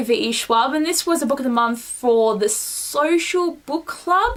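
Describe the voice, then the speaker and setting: A woman speaks at a high pitch with lively intonation and an animated tone. There is noticeable background noise. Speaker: book vlogger. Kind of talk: casual vlog. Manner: fast.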